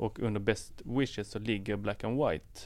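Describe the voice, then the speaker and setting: Using a normal speaking voice, a man talks at a fairly slow pace. His pitch is fairly low and his intonation fairly even. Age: 30s. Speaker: tech podcast guest. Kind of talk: casual chat.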